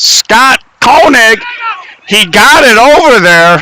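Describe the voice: Speaking at a slow pace, a man uses an extremely high pitch with big pitch swings and a bright, sharp tone.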